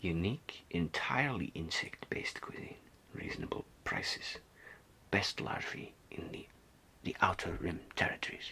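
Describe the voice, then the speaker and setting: A man whispers with a strong non-native accent. He goes at a fairly slow pace with long, frequent pauses. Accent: strong foreign accent, non-native English. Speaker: ASMR artist. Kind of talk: ASMR role-play reading aloud from a guidebook. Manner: whispered, soft, slow, hesitant.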